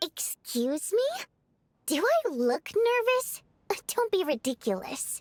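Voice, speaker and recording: In a put-on character voice, a woman speaks fairly slowly at an extremely high pitch, making very wide pitch swings and taking long, frequent pauses. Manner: defensive, indignant.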